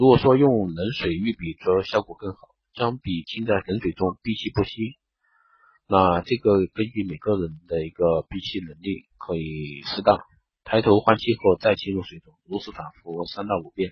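At a moderate pace, a man with a fairly low, somewhat breathy voice shows big swings in loudness and ordinary pitch variation. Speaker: beauty and wellness podcast host. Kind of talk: health tips talk. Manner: halting with fillers. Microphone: phone recording.

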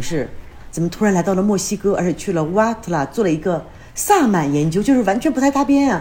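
Somewhat breathy, the voice moves at a fairly quick pace with very wide pitch swings. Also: woman. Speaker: podcast host. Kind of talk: casual interview chat.

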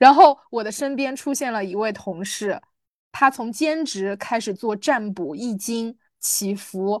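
With a quiet background, a woman in a normal speaking voice talks at a fairly slow pace and fairly high pitch, her intonation lively. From small city in China. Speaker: podcast co-host. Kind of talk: casual chat.

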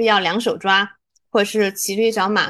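Here a woman speaks with a plain, everyday voice at medium pitch. Her pace is fairly quick, and the background is quiet. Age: 30s. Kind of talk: casual chat.

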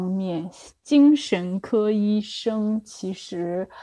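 Against a quiet background, a woman speaks in a medium pitch with a dark, mellow tone. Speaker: developmental psychologist. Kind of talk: solo livestream lecture. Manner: halting, many fillers.

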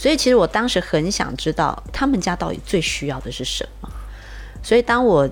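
Fairly quick speech from a woman amid noticeable background noise. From Taiwan. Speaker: charity founder. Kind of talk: interview.

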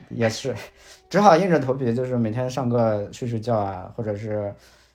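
A man talks at a moderate pace in a plain, everyday voice. His intonation is fairly even. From Shanxi, China. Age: 30s. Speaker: finance video creator. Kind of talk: casual chat.

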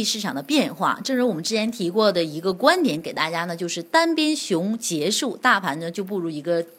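Moving at a fairly quick pace with hardly any pauses, a woman speaks with very wide pitch swings. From northern China. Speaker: financial radio host. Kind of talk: market news broadcast.

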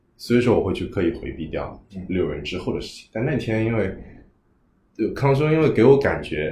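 A man speaks fairly quickly in a medium-pitched voice with a dark, mellow tone and vocal fry. His pitch swings very widely and his loudness shifts a great deal. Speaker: guest working in healthcare and education. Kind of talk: casual conversation. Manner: thoughtful, conversational, hesitant with fillers.

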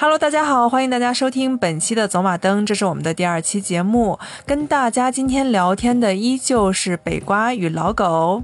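Speaking at a moderate pace with hardly any pauses, a woman holds a fairly high pitch and very even loudness. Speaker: film podcast host. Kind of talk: casual chat.

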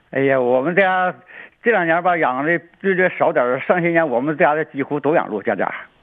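A man with an unremarkable speaking voice and a fairly high pitch talks fairly quickly, his pitch varying in an ordinary way. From Changchun, northeast China. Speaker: deer farmer. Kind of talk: casual chat.

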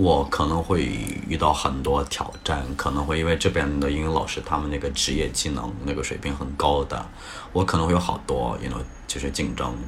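A man with a very deep, low voice talks at a fairly quick pace with fairly even intonation, amid noticeable background noise and audible room echo. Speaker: English teacher. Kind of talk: casual interview chat.

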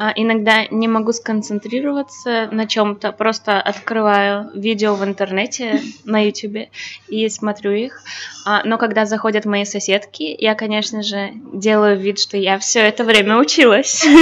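A woman's fairly high voice with fairly even intonation, against noticeable background noise. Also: moderate pace. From Belarus. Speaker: language student. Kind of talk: casual chat. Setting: cafe. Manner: halting.

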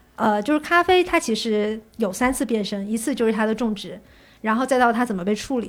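A woman with a Fujian accent and lively intonation, on a very clean recording with a silent background. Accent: southern Chinese (Fujian). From Fujian, China. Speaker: coffee industry worker. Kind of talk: casual chat.

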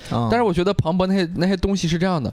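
A high-pitched man with a Shandong accent, over noticeable background noise. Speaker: stand-up comedian and comedy writer. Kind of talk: casual chat.

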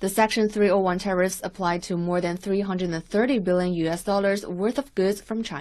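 With hardly any pauses, a woman talks in a plain, everyday voice at a medium pitch with fairly even intonation. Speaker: news reporter. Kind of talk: scripted news report. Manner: formal, measured, neutral.

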